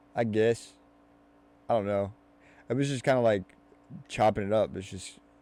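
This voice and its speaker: A man with a Louisville accent speaks in a dark, mellow tone, fairly low in pitch, with fairly even intonation and long, frequent pauses. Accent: Louisville Kentucky accent, mild. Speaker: podcast host. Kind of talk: casual chat. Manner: runs words together; fast.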